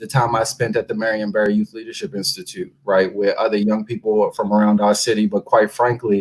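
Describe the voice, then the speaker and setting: Somewhat breathy, a man with an American accent speaks at a fairly quick pace. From Washington DC, Congress Heights. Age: 20s. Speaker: local politician. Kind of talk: interview. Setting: live radio show.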